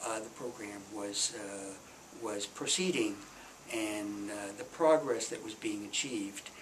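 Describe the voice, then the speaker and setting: With an American accent, a man speaks at a fairly slow pace in a fairly low pitch with ordinary pitch variation. Noticeable background noise and audible room echo surround his voice. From US Midwest. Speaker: retired development official. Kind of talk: oral history interview. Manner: halting, many fillers.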